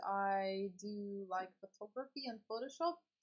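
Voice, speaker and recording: Speaking at a very slow pace, a woman with a non-native accent uses a medium pitch and ordinary pitch variation. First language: not English. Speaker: streamer and teacher. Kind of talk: casual chat. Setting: live stream. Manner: halting.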